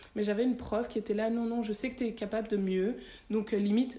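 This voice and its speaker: Speaking at a fairly quick pace, a woman with a fairly high pitch sounds somewhat breathy, with a dark, mellow tone. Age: 30s. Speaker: tax lawyer. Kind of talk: interview conversation.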